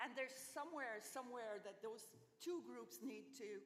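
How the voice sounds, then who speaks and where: A woman speaks in a room with audible echo and noticeable background noise. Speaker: research infrastructure speaker. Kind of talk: conference talk.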